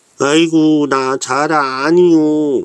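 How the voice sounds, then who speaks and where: Using a fairly high pitch, a man does a put-on character voice. His delivery is very slow. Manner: alarmed, flustered.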